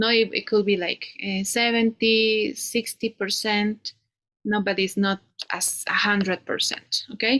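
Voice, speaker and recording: Speaking in a Spanish accent at a fairly slow pace, a woman has a bright, sharp tone, a fairly high pitch and fairly even intonation, with dry, close sound and no echo. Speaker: English teacher. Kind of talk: one-on-one English lesson. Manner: halting, many fillers.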